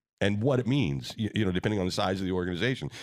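A man speaks with vocal fry and ordinary pitch variation. The recording is very clean, with a silent background. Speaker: radio host. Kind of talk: casual interview chat. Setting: studio.

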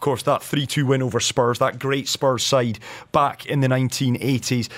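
This is a man with a Scottish accent. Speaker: radio host. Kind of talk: radio interview.

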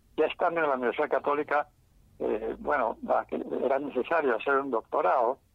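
Talking at a fairly quick pace with long, frequent pauses, a man uses a fairly high pitch with ordinary pitch variation, vocal fry and very even loudness. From Peruvian Andes, Andahuaylas (Apurímac). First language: Quechua (speaking Spanish). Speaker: retired anthropology professor. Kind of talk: interview. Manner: hesitant, many fillers.

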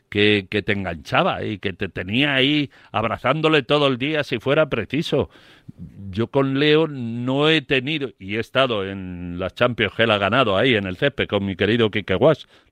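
Recorded with a dry, close sound, no echo and a quiet background, a man speaks in an ordinary speaking voice. His pitch is medium, his pace moderate and his intonation lively. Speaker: sports radio pundit. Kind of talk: radio panel debate. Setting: radio studio.

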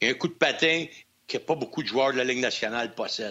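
A man with a Quebec accent. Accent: Québécois French. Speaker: former hockey player, hockey analyst. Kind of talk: casual chat.

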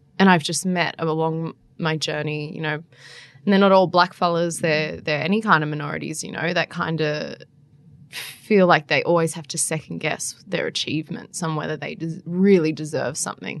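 Her very deep, low pitch holding fairly even intonation, a woman with an Australian accent speaks at a moderate pace with big swings in loudness. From New South Wales central coast, Australia. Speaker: political journalist. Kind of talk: casual interview.

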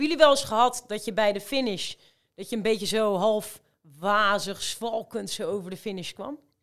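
A woman with a plain, everyday voice speaks at a moderate pace with a fairly high pitch, ordinary pitch variation and big swings in loudness, on a very clean recording with a silent background. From Rotterdam, Netherlands. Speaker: amateur marathon runner. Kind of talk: casual chat.

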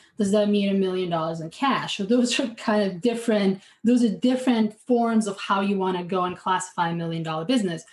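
Somewhat breathy and medium-pitched, a woman talks at a fairly quick pace with hardly any pauses and ordinary pitch variation. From outside the US. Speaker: fractional CFO, finance consultant. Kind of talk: interview.

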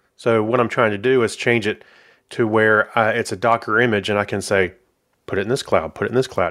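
A man with an American accent has a plain, everyday voice and a medium pitch. He talks at a fairly quick pace with fairly even intonation. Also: very clean recording, silent background. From South Carolina, US South. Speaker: software manager. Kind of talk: casual interview.

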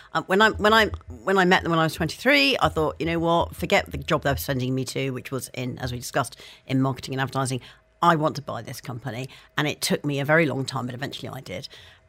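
Talking at a very fast pace, a woman uses a very deep, low pitch with very wide pitch swings, big swings in loudness, and vocal fry. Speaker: university provost and columnist. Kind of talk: casual interview. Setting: studio.

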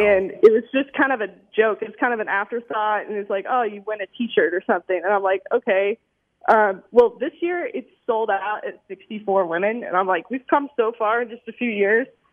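This is an unremarkable speaking voice at a moderate pace with ordinary pitch variation. Its loudness swings widely. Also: woman, fairly high pitch for a woman. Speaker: pinball player. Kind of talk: casual interview chat.

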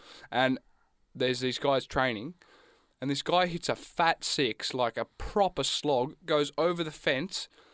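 In a dry, close recording with no echo and a silent background, a man with an Australian accent talks at a fairly slow pace, his fairly high pitch showing ordinary variation. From Australia, Gippsland, Victoria. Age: 20s. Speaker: student radio co-host. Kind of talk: casual chat. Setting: studio.

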